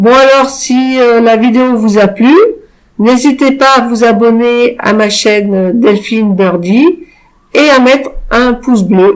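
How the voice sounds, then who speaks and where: Very slow and very even in loudness, a woman speaks with a high pitch and ordinary pitch variation. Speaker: YouTube tutorial creator. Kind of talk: software tutorial. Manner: hesitant, many filler sounds.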